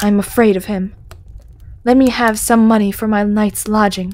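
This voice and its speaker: Putting on a hissing character voice, a woman speaks in a medium pitch at a moderate pace with monotone, flat intonation. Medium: read story. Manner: hissing, sneering, coarse.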